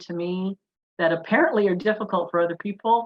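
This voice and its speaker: This woman has a medium pitch and an ordinary speaking voice. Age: 60s. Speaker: wellness summit panelist. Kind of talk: panel discussion.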